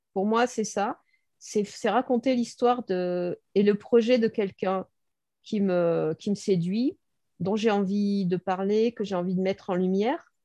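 In a dry, close sound with no echo and a quiet background, a woman speaks very slowly in a dark, mellow tone. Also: medium pitch for a woman, ordinary pitch variation. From Bordeaux, southwest France. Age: 60s. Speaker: blogger and copywriter. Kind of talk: interview.

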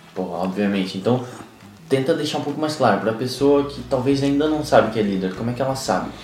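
A man speaks with ordinary pitch variation. Noticeable background noise and audible room echo accompany him. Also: medium pitch for a man, fairly quick pace. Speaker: podcast co-host, coach. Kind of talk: casual chat.

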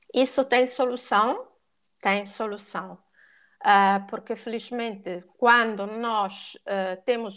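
Bright and sharp in tone, a woman with an Italian accent and a fairly high pitch speaks very slowly in a monotone, flat intonation, recorded very cleanly against a silent background. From Italy. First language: Italian (speaking Portuguese). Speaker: dog and cat behaviour educator. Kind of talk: podcast interview.

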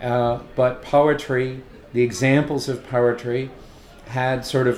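Background noise is noticeable. A man speaks with a monotone, flat intonation. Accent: West Coast US. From Los Angeles. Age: 50s. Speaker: poet and teacher. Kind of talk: casual interview. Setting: hotel bar. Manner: halting, many fillers and restarts.

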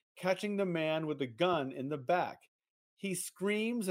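An unforced reading voice with ordinary pitch variation against a quiet background.

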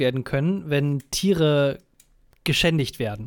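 The recording is very clean, with a silent background. A man speaks in a plain, everyday voice with ordinary pitch variation. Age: 20s. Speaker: podcast co-host. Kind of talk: casual chat.

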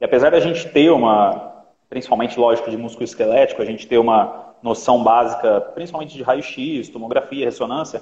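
Here is a plain, everyday voice from a man. He talks at a moderate pace with a fairly high pitch. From Minas Gerais, Brazil. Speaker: orthopedics resident and live stream host. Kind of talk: interview on a live stream.

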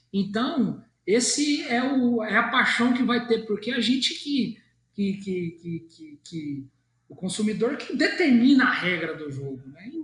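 Speaking at a fairly slow pace, a man uses an extremely high pitch with very wide pitch swings. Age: 30s. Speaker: car dealership executive. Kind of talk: interview. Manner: halting, many fillers.

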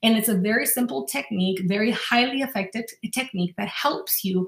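This is a woman with an ordinary speaking voice and a fairly high pitch. She talks at a fairly quick pace with lively intonation. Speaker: life coach podcaster. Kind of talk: guided visualization; self-help talk. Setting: solo podcast. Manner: warm, encouraging.

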